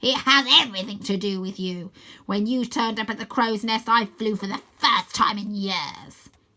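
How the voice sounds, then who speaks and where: A woman's put-on character voice, growling and cackling at a fairly high pitch and moderate pace. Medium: read story. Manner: gloating, cackling.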